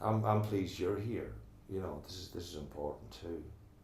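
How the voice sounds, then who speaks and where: In an Irish accent, a man speaks with a very deep, low pitch and ordinary pitch variation. His voice is somewhat breathy at a moderate pace, with audible room echo. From Ireland, Northwest Donegal Gaeltacht. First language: Irish Gaelic. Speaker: tower block resident and committee member. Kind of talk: oral history interview. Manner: halting, repeats words.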